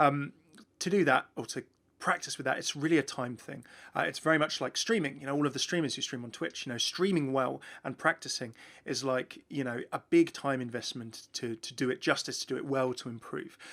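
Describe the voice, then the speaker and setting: At a fairly quick pace, a man speaks in a southern English accent with a fairly high pitch and ordinary pitch variation. The recording is very clean, with a silent background. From southern England, near London. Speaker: gaming YouTuber. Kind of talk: Q&A answering viewer questions. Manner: fast; animated.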